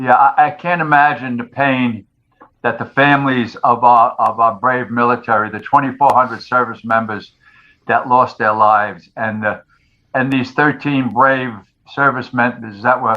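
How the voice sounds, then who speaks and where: Medium in pitch, this man has a New York accent. His intonation is fairly even and his pace moderate. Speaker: retired firefighter and author. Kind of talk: interview. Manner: halting.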